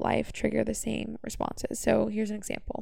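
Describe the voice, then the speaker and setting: A woman is speaking. Her pace is fairly quick. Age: 20s. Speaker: podcast host. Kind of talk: casual monologue. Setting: bedroom.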